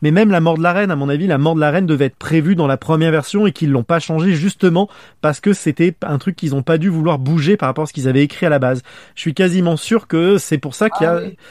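A man talks very fast in a fairly high voice with ordinary pitch variation. The recording is very clean and dry, close-miked with no echo and a silent background. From France. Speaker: podcast host. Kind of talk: casual chat.

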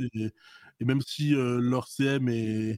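Dry and close with no echo, a man's voice comes in a dark, mellow tone at a medium pitch with monotone, flat intonation. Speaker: esports club president. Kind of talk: casual interview.

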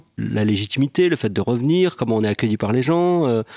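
A man's dark, mellow, medium-pitched voice carries lively intonation on a very clean recording with a silent background and a dry, close sound with no echo. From western Algeria. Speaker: film director. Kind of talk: casual chat.

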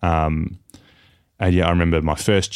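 A man with an Australian accent speaks at a moderate pace in a very deep, low pitch. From Tasmania, Australia. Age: 30s. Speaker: professional footballer. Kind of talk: casual chat.

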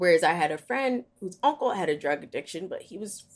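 A woman speaks with vocal fry and very wide pitch swings at a moderate pace. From West Philadelphia. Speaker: media creator. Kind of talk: casual interview.

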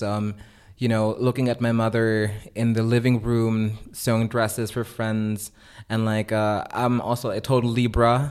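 A man at a medium pitch and moderate pace, monotone and flat, in a very clean recording with a silent background. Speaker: artist. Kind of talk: interview. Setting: artist's studio.

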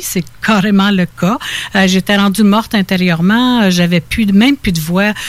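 A woman speaks at a medium pitch and moderate pace with ordinary pitch variation. It is a plain, everyday voice. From Quebec (Laurentides, Estrie), born in Ontario. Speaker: spiritual healer. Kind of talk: interview.

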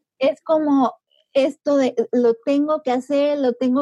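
With a high pitch and a dark, mellow tone, a woman speaks in fairly even intonation, in a dry, close sound with no echo. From Mexico, Puebla. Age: 20s. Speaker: time-management coach and online entrepreneur. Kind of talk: interview.

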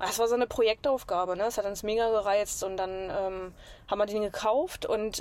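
A woman speaks at a fairly quick pace with a Saxony-Anhalt accent, her pitch in the middle range and her intonation fairly even. The recording is very clean, with a silent background. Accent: regional Magdeburg dialect. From Saxony-Anhalt, near Magdeburg. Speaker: traveler living in a camper. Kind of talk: casual interview.

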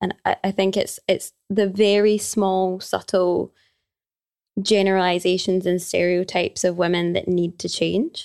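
In a Glaswegian accent, a woman speaks at a fairly slow pace with monotone, flat intonation, recorded dry and close with no echo. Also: medium pitch for a woman. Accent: Glaswegian Scottish. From Scotland, Glasgow. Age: 20s. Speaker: yoga teacher and personal trainer. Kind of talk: casual chat.

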